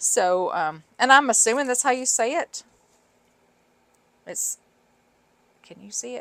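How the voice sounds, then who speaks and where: Recorded with a dry, close sound and no echo, a woman speaks with a Southern US accent. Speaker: sewing and craft video creator. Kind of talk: tutorial; casual chat. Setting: home craft room. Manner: casual, rambling with fillers.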